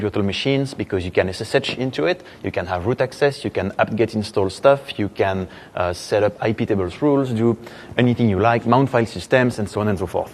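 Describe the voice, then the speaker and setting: A man with a strong French accent, fairly low pitch and ordinary pitch variation, over noticeable background noise. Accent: French, thick. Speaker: software engineer, conference speaker. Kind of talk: conference talk. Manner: hesitant, many fillers.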